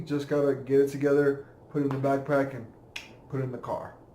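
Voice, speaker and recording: In a room with audible echo, a man with a fairly high pitch talks at a fairly quick pace. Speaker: army vlogger. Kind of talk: casual vlog. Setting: at home, indoors. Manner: casual, filler-heavy.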